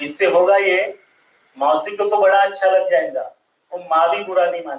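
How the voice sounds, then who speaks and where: A man with a Marathi accent speaks in a high pitch. His intonation stays fairly even. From Maharashtra. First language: Marathi (speaking Hindi). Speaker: social thinker and speaker. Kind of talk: public lecture. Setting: stage with audience.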